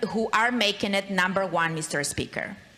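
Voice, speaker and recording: Someone with a Spanish accent talks at a moderate pace over noticeable background noise. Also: woman. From Latin America. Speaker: state legislator. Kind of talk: floor speech. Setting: legislative chamber. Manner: formal.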